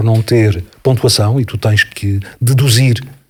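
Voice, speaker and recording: Somewhat breathy and fairly low in pitch, a man with a European Portuguese accent speaks at a very slow pace. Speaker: voice-over narrator. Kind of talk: interview answer.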